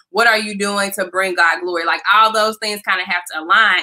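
Against a quiet background, a woman with an American accent speaks at a very fast pace. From US South, Memphis, Tennessee. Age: 20s. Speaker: employment attorney. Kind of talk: interview. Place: home room.

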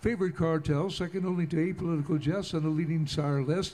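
A man's dark, mellow voice at a fairly quick pace. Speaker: auction announcer. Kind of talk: pedigree announcement at live auction. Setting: live auction sale ring. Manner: fluent, promotional, reads catalog details quickly. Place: hall.

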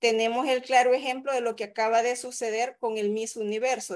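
A woman has a fairly high pitch and talks at a moderate pace. The background is quiet. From El Salvador. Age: 40s. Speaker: physician and mayoral candidate; candidate. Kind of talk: interview. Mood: earnest, critical political talk. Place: home room. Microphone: video call.

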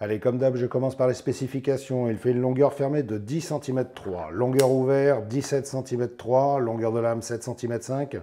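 A man with a dark, mellow tone talks at a medium pitch with ordinary pitch variation and few pauses. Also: moderate pace.

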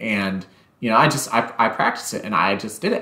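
Audible room echo surrounds a man with an American accent. He talks at a fairly quick pace with ordinary pitch variation. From Texas. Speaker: pianist and piano teacher; piano teacher. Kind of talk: casual interview. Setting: remote call. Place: home room.

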